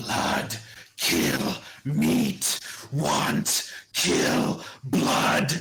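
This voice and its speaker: A put-on character voice sits at a low-to-middle pitch. It sounds raspy. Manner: menacing.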